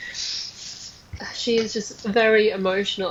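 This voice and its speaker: A woman speaks in a monotone, flat way over noticeable background noise. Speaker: spirit medium. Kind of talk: channeling session conversation.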